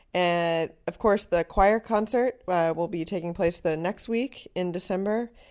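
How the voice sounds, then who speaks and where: Speaking with an American accent, a woman has a fairly low pitch and ordinary pitch variation. Hers is an unremarkable speaking voice. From North Carolina, US South. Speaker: high school music director. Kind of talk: interview.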